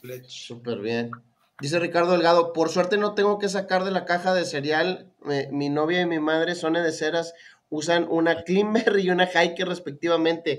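A man's high-pitched voice shows ordinary pitch variation as he talks at a moderate pace. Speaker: knife and everyday-carry channel host. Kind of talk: casual live stream chat.

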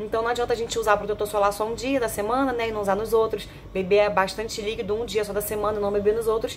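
Over light background noise, a woman with a fairly high pitch rushes along very fast in a monotone, flat delivery with hardly any pauses. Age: 30s. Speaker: product reviewer. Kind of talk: sales pitch. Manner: chatty. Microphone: phone near.

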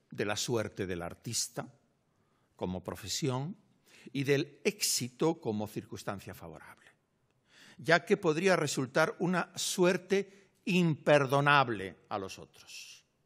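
With vocal fry, very wide pitch swings and big swings in loudness, a man speaks at a very slow pace against a quiet background. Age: 60s. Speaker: literature professor. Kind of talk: lecture. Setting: lecture hall with audience. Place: hall. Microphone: podium.

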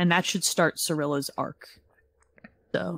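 Moderately paced, somewhat breathy speech from a woman. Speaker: video game podcast co-host. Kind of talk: casual chat. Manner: energetic, animated.

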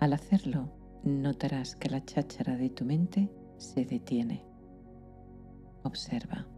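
A woman with a very deep, low pitch speaks in a calm tone with lively intonation. Her very slow delivery has long, frequent pauses, with music in the background. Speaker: psychologist and meditation guide. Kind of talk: guided sleep meditation. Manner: slow, calm, soft-spoken.

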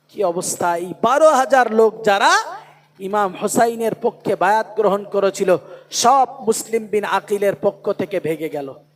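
A man speaks loudly with a high pitch. His pitch varies in an ordinary way. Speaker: Islamic preacher. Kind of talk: sermon. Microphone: poor PA sound.

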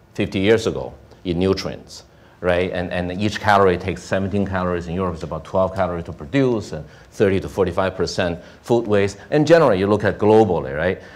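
A man with a very deep, low pitch talks at a fairly quick pace. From China. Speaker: venture investor; panelist. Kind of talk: panel discussion. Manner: halting, repetitive. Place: hall.

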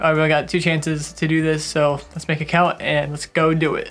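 A man speaks with faint music in the background. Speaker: vlogger. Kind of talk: casual vlog chat. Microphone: camera far.

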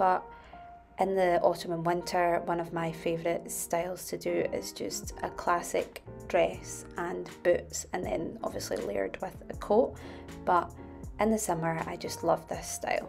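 A woman with a Scottish accent speaks at a fairly slow pace. Music plays behind her. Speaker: fashion YouTuber. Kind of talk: casual style tutorial to camera.

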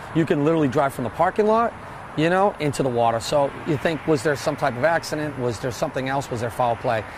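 Noticeable background noise and a man's fairly quick pace of speech. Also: dry sound with no echo. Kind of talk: interview answer. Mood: calm, matter-of-fact. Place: waterside. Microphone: lapel.

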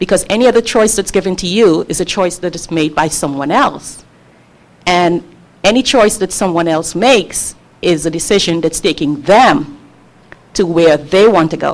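A woman talks at a moderate pace in a fairly low pitch with ordinary pitch variation. It is a normal speaking voice. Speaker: spiritual website creator. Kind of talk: panel talk. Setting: stage with audience.

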